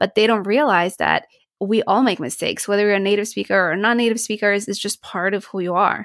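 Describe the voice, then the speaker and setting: A woman with an American accent speaks very fast at a medium pitch, her intonation fairly even. The recording is very clean, with a silent background and a dry, close sound free of echo. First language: Polish. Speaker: speech pathologist and accent coach. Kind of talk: casual interview.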